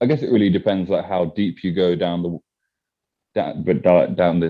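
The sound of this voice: Mumbling in a put-on character voice, a man speaks at a moderate pace with a very deep, low pitch and ordinary pitch variation.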